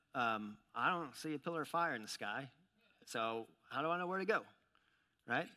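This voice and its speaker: A man talks with a bright, sharp tone. His speech is broken by long, frequent pauses. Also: moderate pace. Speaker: pastor. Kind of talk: sermon. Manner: halting with many fillers.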